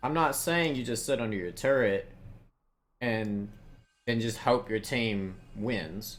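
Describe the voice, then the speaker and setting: Speaking at a fairly slow pace with long, frequent pauses, a man with a Southern US accent has a medium pitch and ordinary pitch variation. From US South. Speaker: video game coach. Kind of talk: coaching session.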